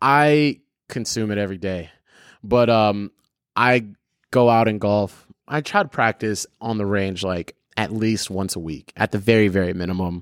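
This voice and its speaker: A man with an American accent talks at a moderate pace in a fairly low pitch, with ordinary pitch variation and a plain, everyday voice, in a dry, close sound with no echo on a very clean recording with a silent background. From US, Filipino American family. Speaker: content creator and director. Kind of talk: casual chat.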